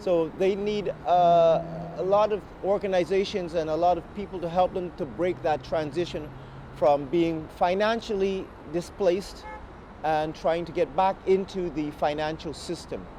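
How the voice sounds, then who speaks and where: Fairly slow and with fairly even intonation, a man speaks at a high pitch for a man. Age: 30s. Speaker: homeless musician. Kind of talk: testimony. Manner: halting.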